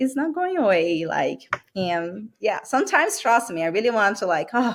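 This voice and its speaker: Speaking with a Brazilian accent, a woman uses a fairly high pitch and very wide pitch swings. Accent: Brazilian accent, noticeable. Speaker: medical sales rep. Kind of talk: interview podcast.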